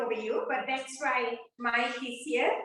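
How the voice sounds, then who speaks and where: Audible room echo follows a woman who speaks very slowly in a high pitch with lively intonation. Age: 70s. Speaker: seminar speaker and author. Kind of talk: lecture.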